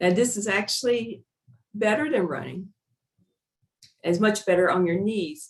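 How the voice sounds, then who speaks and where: At a fairly slow pace, a woman speaks at medium pitch with ordinary pitch variation. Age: 60s. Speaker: physician. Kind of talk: webinar presentation. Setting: online webinar.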